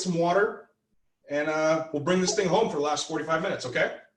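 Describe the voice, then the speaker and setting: A man speaks loudly, and room echo can be heard around his voice. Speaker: real estate team leader and trainer. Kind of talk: training lecture.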